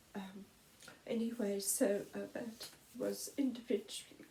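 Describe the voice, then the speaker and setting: Soft-spoken woman in a British accent with a dark, mellow tone. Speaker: vlogger. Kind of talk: personal testimony. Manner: halting.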